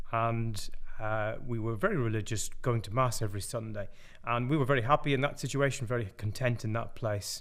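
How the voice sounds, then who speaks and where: With audible room echo, a man talks at a fairly quick pace with ordinary pitch variation. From Ireland. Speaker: pastor. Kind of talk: testimony. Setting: pre-recorded video.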